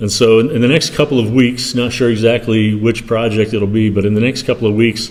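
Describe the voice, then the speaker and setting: Amid audible room echo, a man with a fairly low pitch talks at a fairly quick pace with fairly even intonation. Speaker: ministry founder and guest speaker. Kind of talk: church talk / mission update. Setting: church. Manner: soft-spoken; halting, many fillers.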